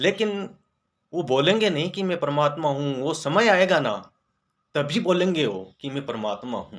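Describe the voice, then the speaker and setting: A man's voice with ordinary pitch variation, on a very clean recording with a silent background. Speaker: spiritual video creator. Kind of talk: spiritual talk. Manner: occasionally halting.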